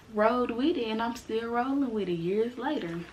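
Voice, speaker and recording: A woman speaks at a fairly slow pace in an animated tone. Her fairly high voice has lively intonation, set against noticeable background noise. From US South, Mississippi and Tennessee. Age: 20s. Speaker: YouTuber. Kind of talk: casual vlog introduction.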